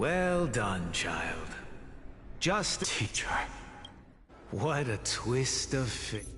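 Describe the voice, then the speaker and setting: A man performs a put-on character voice at a very slow pace, with long, frequent pauses. Clear background noise is audible. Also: medium pitch for a man. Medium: video game. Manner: condescending.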